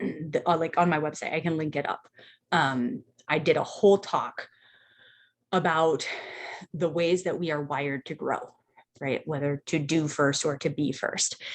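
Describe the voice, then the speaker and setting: A woman's very deep, low voice broken by long, frequent pauses. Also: fairly even intonation. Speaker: life coach running a live group session. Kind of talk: live group coaching session. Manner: slow; casual, filler-heavy.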